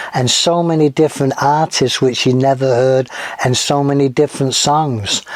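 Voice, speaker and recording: With an American accent, a man speaks at a fairly slow pace and a medium pitch, his intonation monotone and flat. Noticeable background noise sits under his voice. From northern England, Manchester. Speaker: podcast host. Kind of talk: casual podcast introduction. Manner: casual with frequent fillers.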